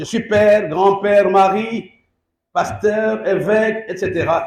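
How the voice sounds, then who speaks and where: Speaking at a very slow pace, a man with a high pitch keeps his intonation fairly even. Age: 60s. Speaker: bishop, pastor. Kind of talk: sermon. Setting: church service.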